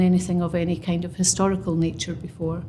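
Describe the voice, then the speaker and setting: A somewhat breathy voice with a Scottish accent at a moderate pace, with audible room echo. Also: woman. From Scotland. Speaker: construction professional. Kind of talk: podcast interview. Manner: halting.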